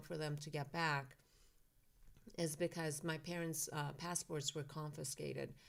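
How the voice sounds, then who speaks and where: A woman with a Persian accent speaks at a moderate pace with fairly even intonation. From Iran, then California from age eleven. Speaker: author and philanthropist. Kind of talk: interview. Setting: studio.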